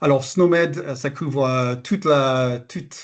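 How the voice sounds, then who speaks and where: This man has an English accent and a fairly high pitch. He talks at a fairly slow pace. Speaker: health terminology expert presenter. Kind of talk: webinar presentation. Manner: hesitant, many filler sounds.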